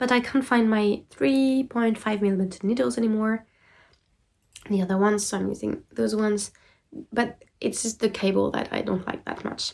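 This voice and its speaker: Ordinary pitch variation and a moderate pace from a woman with a fairly high pitch. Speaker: knitting podcaster. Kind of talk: casual chat. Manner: hesitant, many fillers.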